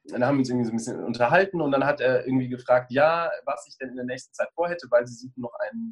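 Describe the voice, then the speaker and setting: Words pour out very quickly. It's a man talking. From Germany, Bonn (Rhineland). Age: 30s. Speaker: choreographer and former professional dancer. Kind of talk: interview. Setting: video call.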